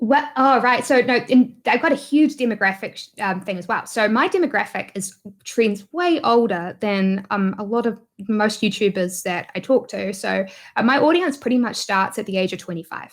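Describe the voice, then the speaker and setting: Speaking at a moderate pace, a woman with a New Zealand accent uses lively intonation at a fairly high pitch. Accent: New Zealand accent, noticeable. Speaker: YouTuber and online business entrepreneur. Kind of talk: interview conversation. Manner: hesitant, many fillers.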